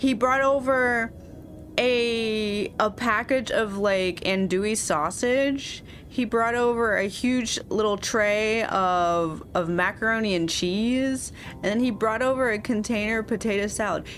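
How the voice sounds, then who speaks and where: A woman with a fairly high pitch speaks fairly slowly, keeping her loudness very even and her pitch variation ordinary. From US Midwest, Kansas City. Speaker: vtuber and artist streamer. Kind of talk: casual livestream chat. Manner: animated.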